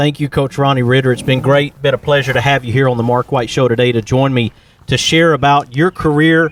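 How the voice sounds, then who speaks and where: Speaking fairly quickly in a Southern US accent, a man uses a fairly high pitch with ordinary pitch variation. The sound is dry and close, with no echo. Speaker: podcast host. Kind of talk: interview.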